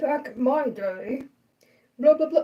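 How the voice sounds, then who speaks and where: A put-on character voice, high in pitch. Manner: complaining.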